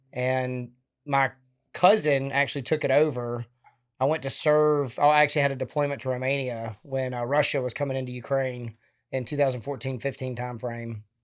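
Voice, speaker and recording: In a Southern US accent, the speaker talks at a fairly quick pace with fairly even intonation on a very clean recording with a silent background. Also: man, medium pitch for a man. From Alabama, US South. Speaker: retired military officer and veteran charity founder. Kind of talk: interview conversation.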